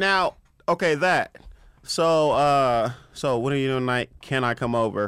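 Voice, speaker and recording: A normal speaking voice with an American accent moves at a fairly slow pace, with ordinary pitch variation and very even loudness. The recording is very clean, with a silent background. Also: man, fairly high pitch for a man. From Compton, Los Angeles. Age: 30s. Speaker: comedian. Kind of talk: casual chat. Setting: studio.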